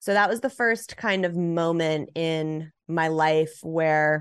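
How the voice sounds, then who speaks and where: Against a quiet background, a woman with an American accent speaks at a very deep, low pitch. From Los Angeles, US. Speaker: author and podcast host. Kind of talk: interview, personal storytelling.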